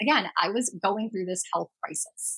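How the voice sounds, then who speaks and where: Here a woman talks at a fairly quick pace. Her pitch varies in an ordinary way. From Germany and the United States. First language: German. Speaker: astrologer and podcast host. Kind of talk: personal story monologue.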